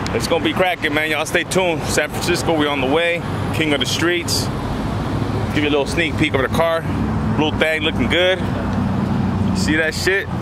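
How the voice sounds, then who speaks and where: A man speaks fairly quickly in a dry sound with no echo, with loud background noise around him. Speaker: car vlogger. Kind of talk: casual vlog chat. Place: street. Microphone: phone near.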